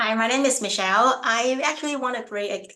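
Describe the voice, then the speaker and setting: A woman's bright, sharp tone in a Hong Kong accent, with audible room echo. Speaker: aspiring financial educator. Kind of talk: casual self-introduction.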